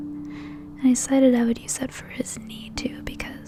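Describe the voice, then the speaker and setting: Soft-spoken and at a fairly slow pace, the voice is accompanied by music in the background. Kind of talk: soft-spoken voiceover narrating a digital painting process.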